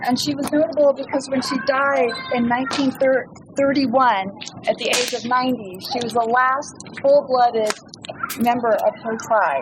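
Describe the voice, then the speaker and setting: A woman speaks at a moderate pace in a high pitch with fairly even intonation. Noticeable background noise runs underneath. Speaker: author and trail speaker. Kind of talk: campfire talk. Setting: outdoors, campfire with audience.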